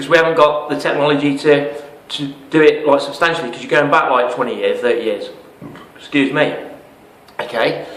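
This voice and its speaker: With an English accent and fairly high pitch, a man talks at a fairly quick pace but pauses long and often, amid audible room echo and noticeable background noise. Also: big swings in loudness. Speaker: network marketing promoter. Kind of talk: sales pitch. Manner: fast; animated.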